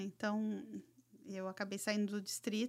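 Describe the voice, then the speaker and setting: A woman has an unremarkable speaking voice, fairly high in pitch. She talks at a moderate pace. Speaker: educational and financial consultant. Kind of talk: casual chat.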